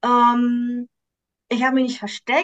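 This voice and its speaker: Speaking at a high pitch, a woman is heard. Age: 50s. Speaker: coach for women, cancer survivor. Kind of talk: interview.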